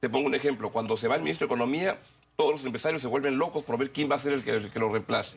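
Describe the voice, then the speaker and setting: Talking at a very fast pace, a man speaks at a medium pitch with ordinary pitch variation. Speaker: TV interviewer. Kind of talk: TV interview.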